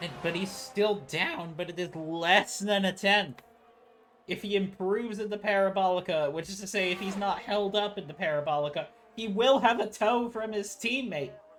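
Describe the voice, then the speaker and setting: Noticeable background noise is present throughout. The talking proceeds at a moderate pace. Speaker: sim racing commentator. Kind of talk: live race commentary.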